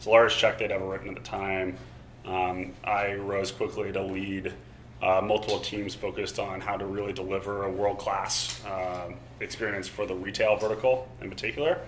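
A man with an American accent talks at a moderate pace and a fairly low pitch. His intonation stays fairly even, with light background noise behind him. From Tulsa, Oklahoma, US. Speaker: startup CEO. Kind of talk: fireside chat talk. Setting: stage with live audience. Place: hall.

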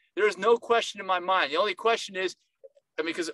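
A man's raised, projected voice with a bright, sharp tone, dry with no echo, against a quiet background. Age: 50s. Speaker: nutritionist, video host. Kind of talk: informal educational monologue to camera. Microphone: webcam.

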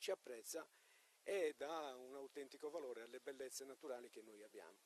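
A man with a normal speaking voice talks at a fairly high pitch and a fairly quick pace. The sound is dry and close, with no echo. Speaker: town mayor. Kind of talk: interview.

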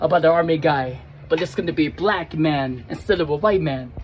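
Light background noise sits behind a man with a high pitch. He talks at a moderate pace. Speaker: skit creator. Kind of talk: casual vlog chat. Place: street. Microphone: phone near.

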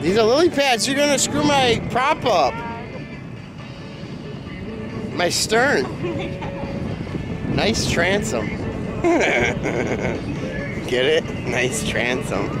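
Loud background music plays as a man speaks at a very slow pace with long, frequent pauses, in a dry sound with no echo. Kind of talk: casual home video chat. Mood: playful, joking. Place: boat. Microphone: phone near.

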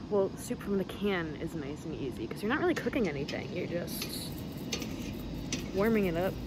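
Loud background noise surrounds a woman talking at a fairly quick pace. Her voice sounds dry, with no echo. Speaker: vlogger. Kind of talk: casual vlog chat. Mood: playful, joking. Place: forest. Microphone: phone near.

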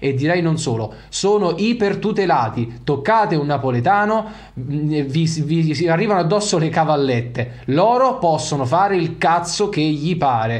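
An animated tone at a fairly slow pace, with lively intonation and very even loudness. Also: man, fairly high pitch for a man. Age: 30s. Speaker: football YouTuber. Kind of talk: video commentary monologue. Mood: indignant, heated. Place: home room. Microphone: studio mic.

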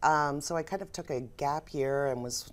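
Her pitch sits very deep and low for a woman. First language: American Sign Language. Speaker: business owner and sign language interpreter; guest. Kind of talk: interview. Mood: warm, reflective storytelling. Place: studio. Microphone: lapel.

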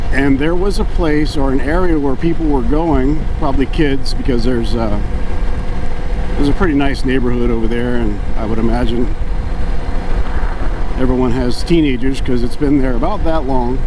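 A man talks at a moderate pace with very even loudness and long, frequent pauses. The sound is dry with no echo, though background noise is noticeable. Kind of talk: casual vlog chat. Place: motorbike. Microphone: helmet.

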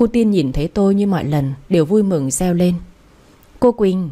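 The woman's pitch is fairly low. She speaks at a fairly slow pace. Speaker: radio story narrator. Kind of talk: audiobook story narration. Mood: calm, gentle storytelling. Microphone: studio mic.

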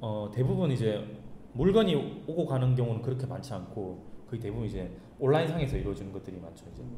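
With a slight Gyeongsang accent, a man talks at a very fast pace, his intonation lively and his loudness swinging widely. Audible room echo and light background noise are present. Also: medium pitch for a man. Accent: Gyeongsang dialect tinge. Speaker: startup founder; guest. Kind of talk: talk show interview. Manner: hesitant, many fillers. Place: meeting room. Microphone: camera far.

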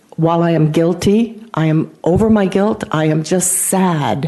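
Over noticeable background noise, a woman speaks with a fairly low pitch and fairly even intonation. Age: 70s. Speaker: retired nurse, public commenter. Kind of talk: public comment testimony. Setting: council meeting.

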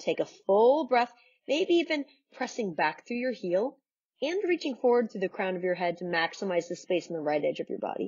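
A woman speaks in a calm, soothing tone with a fairly high pitch and very wide pitch swings. Her pace is fairly quick against a quiet background. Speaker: yoga instructor. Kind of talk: guided yoga class. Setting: home video recording. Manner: calm, soothing, and instructional; warm and encouraging. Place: home room.

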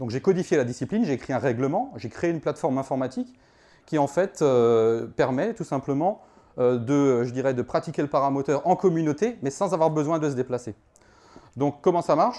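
A man's dark, mellow voice, fairly high in pitch, at a moderate pace with lively intonation and long, frequent pauses. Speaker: paramotor federation organizer; presenter. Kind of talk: conference talk. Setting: stage with audience. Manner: animated. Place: hall. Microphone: handheld.

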